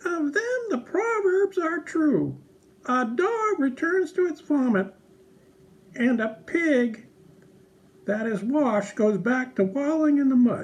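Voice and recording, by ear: A man speaks in a cartoonish character voice at an extremely high pitch. His pitch swings widely, and his pace is slow.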